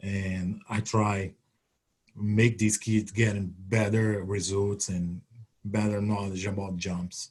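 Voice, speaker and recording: In a Brazilian accent, a man speaks very slowly, his somewhat breathy voice flat and monotone. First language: Portuguese. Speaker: retired Olympic triple jumper and coach. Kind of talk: webinar talk. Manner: halting.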